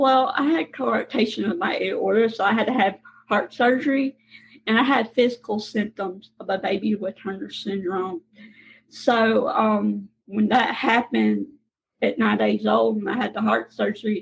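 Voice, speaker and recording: Here a woman talks with a Southern accent. She keeps a moderate pace. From Mississippi, US South. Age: 20s. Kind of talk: interview.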